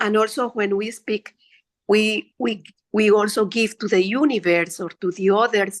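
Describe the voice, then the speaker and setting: Speaking with a Spanish accent at a medium pitch and moderate pace, a woman keeps a fairly even intonation in a dry, close sound with no echo. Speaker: meditation participant. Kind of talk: casual chat. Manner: halting.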